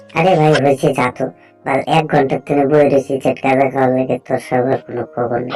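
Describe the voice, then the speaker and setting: Music plays behind a man doing a cartoonish character voice at medium pitch, fairly quick and monotone, with flat intonation. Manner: scolding, impatient.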